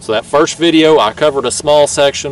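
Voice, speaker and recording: Someone talks at a fairly quick pace with fairly even intonation, in a dry recording with no echo. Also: man. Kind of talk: casual vlog chat. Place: boat. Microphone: camera far.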